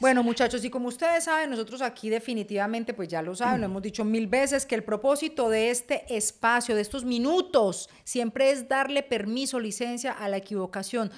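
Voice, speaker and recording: Over a quiet background, a woman with a Paisa accent and a high pitch talks at a fairly quick pace in an animated tone with hardly any pauses. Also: ordinary pitch variation. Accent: Paisa (Medellín). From Colombia, Medellín. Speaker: podcast co-host. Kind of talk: casual chat. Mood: lively, humorous storytelling. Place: home room. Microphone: studio mic.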